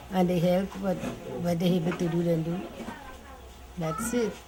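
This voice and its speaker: Over noticeable background noise, a woman with a medium-pitched voice talks at a moderate pace. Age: 80s+. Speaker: fire victim interviewed. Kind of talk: interview testimony. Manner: halting.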